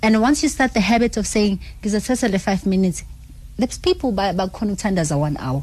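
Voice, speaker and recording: Speaking at a fairly quick clip, a woman with a medium-pitched voice shows lively intonation and some vocal fry. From South Africa, Alexandra township, Johannesburg. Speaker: fitness trainer. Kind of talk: radio interview. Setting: radio studio.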